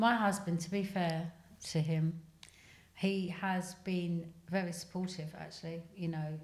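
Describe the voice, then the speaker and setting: A woman's fairly low, somewhat breathy voice, flat and monotone, at a fairly slow pace, with audible room echo. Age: 50s. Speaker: guest sharing menopause experience. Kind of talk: casual chat.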